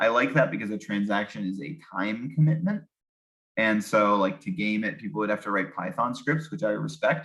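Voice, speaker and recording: At a moderate pace, a man with fairly low pitch uses lively intonation in an ordinary speaking voice. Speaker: developer presenting own project. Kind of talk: online presentation.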